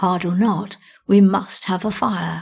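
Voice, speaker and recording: A raspy put-on character voice from a woman, medium in pitch, flat and monotone, at a fairly slow pace. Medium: read story.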